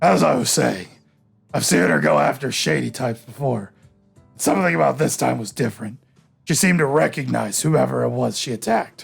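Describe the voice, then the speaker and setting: Over faint music in the background, a man does a raspy put-on character voice at a medium pitch. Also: fairly quick pace. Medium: game stream. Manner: casual, joking.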